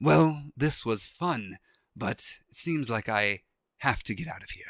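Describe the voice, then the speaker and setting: In a raspy, put-on character voice of medium pitch, a man speaks at a fairly slow pace. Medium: actual play. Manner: sneering, dismissive.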